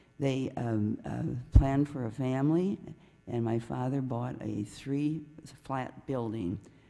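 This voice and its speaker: Against noticeable background noise, a woman with a very deep, low voice speaks at a very slow pace with ordinary pitch variation. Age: 80s+. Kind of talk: public comment at city council meeting. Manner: conversational, hesitant.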